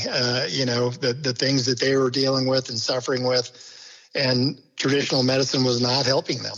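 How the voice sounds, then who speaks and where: Over noticeable background noise, a man talks at medium pitch and moderate pace with monotone, flat intonation. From Kansas City area, US Midwest. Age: 60s. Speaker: laboratory company executive. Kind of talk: podcast interview.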